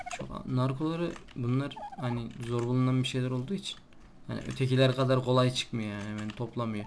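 A man talks at a fairly quick pace in a medium pitch, with fairly even intonation over noticeable background noise. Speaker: gaming YouTuber. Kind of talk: let's play commentary. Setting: recording at night.

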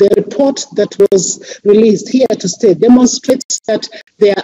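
A woman speaks at a fairly high pitch against a quiet background. Her dark, mellow tone is somewhat breathy. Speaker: civil society representative; panelist. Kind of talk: reading a formal statement. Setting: video call. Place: office. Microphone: headset.

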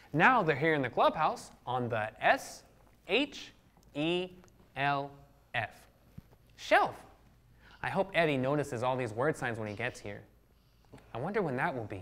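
A man speaks at a moderate pace, with very wide swings in pitch. He leaves long, frequent pauses. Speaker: children's show host. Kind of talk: children's educational show talk. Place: studio. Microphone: lapel.

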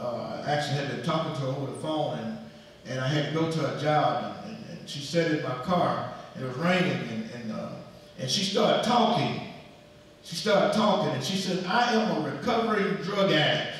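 A man speaks at a moderate pace with lively intonation. Strong room echo surrounds his voice. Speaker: pastor. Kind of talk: sermon. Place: church. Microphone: camera far.

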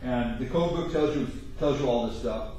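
A man talks at a fairly quick pace, with strong room echo and light background noise. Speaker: welding instructor. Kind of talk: lecture. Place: classroom. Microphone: camera far.

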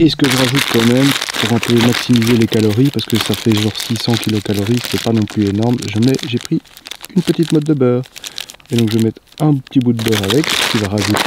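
A man speaks at a fairly quick pace. His voice has a slightly husky edge. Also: medium pitch for a man, ordinary pitch variation.

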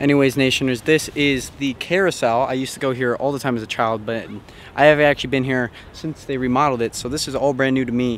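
Talking at a very fast pace with fairly even intonation, a man is heard in a dry sound with no echo over light background noise. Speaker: vlogger. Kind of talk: casual vlog chat. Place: street. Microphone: phone near.

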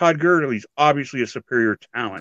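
Against a quiet background, a man speaks with lively intonation, the sound dry with no echo. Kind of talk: heated debate. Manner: combative, emphatic, repeating phrases for punch. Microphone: video call.

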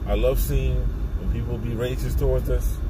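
Loud background noise runs under a man's voice. There is no echo, and the sound is dry. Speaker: vlogger. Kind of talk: casual vlog chat, opinion rant. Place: car. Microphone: phone near.

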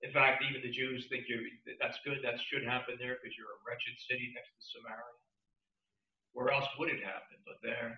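A man speaks at a fairly quick pace, his loudness swinging widely. Room echo is audible, though the background is quiet. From New Jersey. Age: old. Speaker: pastor. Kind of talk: sermon. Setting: church. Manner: animated. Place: church.

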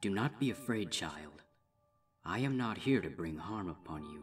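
A man uses a put-on character voice at a fairly low pitch and a moderate pace. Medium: read story. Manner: imposing, menacing, cooing.

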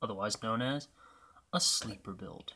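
Light background noise sits behind a man. He speaks quietly with ordinary pitch variation. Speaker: gaming youtuber. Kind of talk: gameplay commentary. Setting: home apartment at night. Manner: quiet, subdued. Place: home room.

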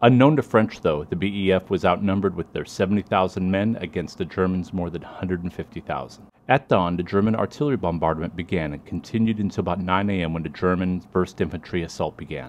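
A man's very deep, low voice at a fairly quick pace with ordinary pitch variation. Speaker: history video narrator. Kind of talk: history documentary narration, scripted and factual. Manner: steady, measured, even-paced.

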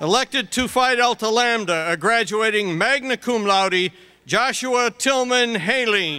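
Raising and projecting his voice, a man speaks at a high pitch and a fairly slow pace. His intonation is lively and his loudness very even. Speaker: dean reading graduate names. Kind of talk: reading names aloud at graduation. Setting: stage with audience. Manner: steady, measured. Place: stage.

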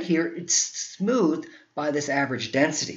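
A man with an American accent speaks in very wide pitch swings. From New Jersey. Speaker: geography professor. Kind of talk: recorded conference presentation. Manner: slightly halting, self-correcting.

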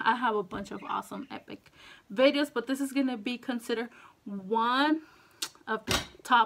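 Upbeat and enthusiastic, a woman talks at a moderate pace in a high pitch, leaving long, frequent pauses. Her loudness swings widely over light background noise. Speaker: food mukbang / eating show YouTuber. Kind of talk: casual talk to camera. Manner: upbeat, enthusiastic. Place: home room.

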